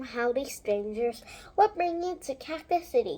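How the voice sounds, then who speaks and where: A woman puts on a character voice, high-pitched and at a moderate pace. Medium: read story. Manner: folksy, chatty.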